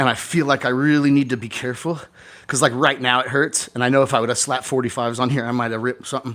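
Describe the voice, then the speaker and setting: The speech comes very fast in an animated tone. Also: man, medium pitch for a man. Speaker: real estate investor and event host. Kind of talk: casual chat. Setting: home garage gym, livestream. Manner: loud.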